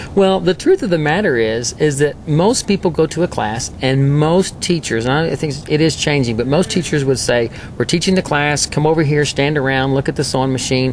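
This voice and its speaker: With a Texas accent, a man speaks at a moderate pace with hardly any pauses, fairly high pitch, ordinary pitch variation and very even loudness over noticeable background noise. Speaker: quilter and quilting teacher. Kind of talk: interview.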